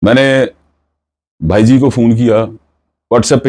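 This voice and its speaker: The setting is quiet. A man talks with a dark, mellow tone. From Pakistan, Sialkot (Punjab). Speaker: showbiz news vlogger. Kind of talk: vlog commentary.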